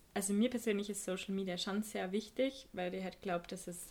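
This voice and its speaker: Somewhat breathy, this woman speaks with fairly even intonation. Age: 20s. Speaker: photo editor and photographer. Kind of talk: casual chat.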